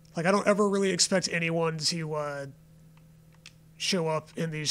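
Whispering at a fairly slow pace, a man is heard on a very clean recording with a silent background. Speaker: gaming streamer. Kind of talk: casual live stream chat. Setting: home, late night live stream. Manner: whispering, awkward.

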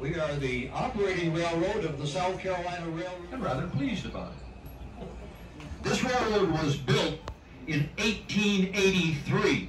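Fairly slow speech with audible room echo and light background noise. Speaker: railroad tour guide. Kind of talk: tour commentary. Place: train. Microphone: camera far.

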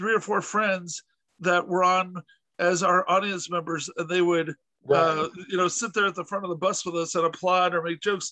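Over a quiet background, a man with a high pitch and a bright, sharp tone talks at a moderate pace in a monotone, flat intonation, the sound dry with no echo. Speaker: podcast host interviewer. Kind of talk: casual interview storytelling. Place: home room. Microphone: video call.

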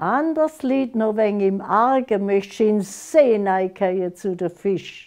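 A woman with a Lake Constance accent, lively intonation and a very slow pace, against a quiet background. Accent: Lake Constance Alemannic German dialect. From Germany, Konstanz on Lake Constance; Germany. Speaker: dialect author; dialect poet. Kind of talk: dialect poetry reading.

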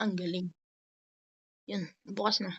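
A woman speaks in an animated tone. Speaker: gaming vlogger. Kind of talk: gameplay commentary.

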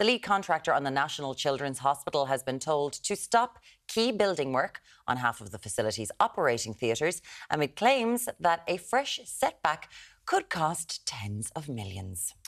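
With an Irish accent, the speaker goes at a moderate pace against a quiet background. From Ireland. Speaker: breakfast TV presenter. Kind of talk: live breakfast TV presenting. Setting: TV studio. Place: studio. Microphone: lapel.

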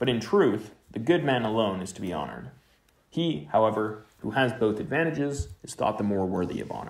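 Pitched fairly low, a man speaks at a moderate pace with very wide pitch swings. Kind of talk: literary audiobook reading of a philosophical text. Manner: measured, even-paced, formal.

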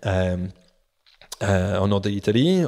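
A man speaks fairly slowly in a fairly low voice. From New Zealand, Auckland. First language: English (speaking French). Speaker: professional sailor. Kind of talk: interview. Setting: at his home. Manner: halting.

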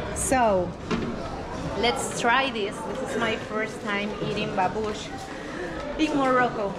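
Loud background noise sits under a woman who speaks very slowly with long, frequent pauses. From Venezuela. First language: Spanish. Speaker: travel vlogger. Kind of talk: travel vlog narration. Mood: curious, cheerful. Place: market. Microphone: phone near.

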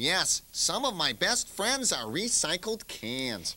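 A put-on character voice at a middle pitch. It moves at a fairly slow pace. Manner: friendly, matter-of-fact.

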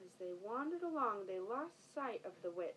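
A passage of reading aloud in a natural voice

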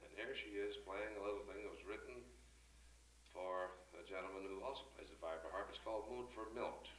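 In a room with audible echo and light background noise, a man speaks at a fairly quick pace. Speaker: bandleader emcee. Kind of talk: stage announcement with jokes. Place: bar. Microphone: old recording.

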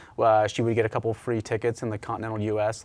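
A man speaks at a very fast pace. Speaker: guest. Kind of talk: interview answer. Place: studio. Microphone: lapel.

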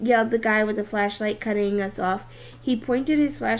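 The speaker is reading aloud in a natural voice.

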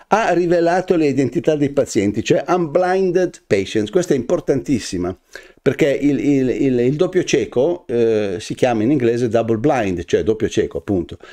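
With a dark, mellow tone and some vocal fry, a man speaks in very wide pitch swings over a quiet background. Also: fairly high pitch for a man, moderate pace. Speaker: news commentary host. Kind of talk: weekly news commentary. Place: studio.

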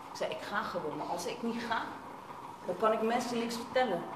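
This is a woman speaking. Noticeable background noise runs behind her. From Netherlands, The Hague; Netherlands. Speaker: aid volunteer and filmmaker. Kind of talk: panel discussion testimony. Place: meeting room. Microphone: camera far.

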